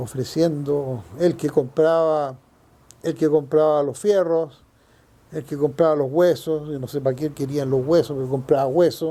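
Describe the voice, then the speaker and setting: A man with a fairly high pitch speaks at a very slow pace. His tone is dark and mellow, and his intonation fairly even. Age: 70s. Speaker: longtime neighbourhood resident. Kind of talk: oral history interview answer.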